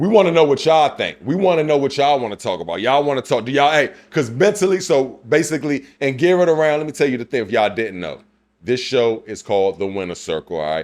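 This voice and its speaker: A man speaks loud and very fast with a fairly high pitch. His tone is animated, with very wide pitch swings. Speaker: podcast co-host. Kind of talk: casual chat.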